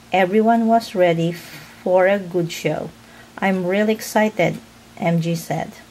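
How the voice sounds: Someone reads in a natural reading voice with ordinary pitch variation.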